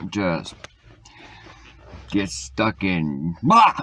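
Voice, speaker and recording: There is noticeable background noise in the clip. Through it, a man talks with lively intonation. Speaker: vlogger. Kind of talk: casual monologue answering get-to-know-you questions. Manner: loud; animated, talkative.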